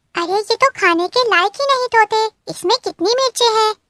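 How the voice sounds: With a cartoonish character voice, a woman squeaks at an extremely high pitch and a moderate pace.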